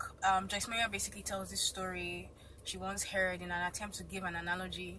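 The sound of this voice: An unforced reading voice carries the whole clip.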